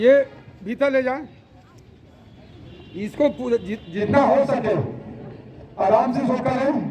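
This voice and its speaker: A man speaks at an extremely high pitch with ordinary pitch variation. Noticeable background noise runs beneath him. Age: 60s. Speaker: yoga instructor at a school. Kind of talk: live instruction to pupils.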